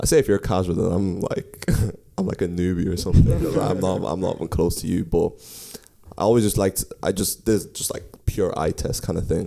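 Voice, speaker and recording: Through noticeable background noise, a man with an American accent talks at a fairly quick pace in a very deep, low voice with ordinary pitch variation. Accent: slight Dublin accent with American tint. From Ireland, County Kildare. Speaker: podcast co-host. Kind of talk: casual chat.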